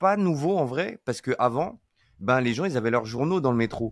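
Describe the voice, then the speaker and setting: Very clean recording with a silent background, a man's medium-pitched voice with lively intonation, and a dry, close sound with no echo. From France, rural Deux-Sèvres. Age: 40s. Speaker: iOS software engineer. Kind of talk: casual interview chat. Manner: hesitant, many fillers and repetitions.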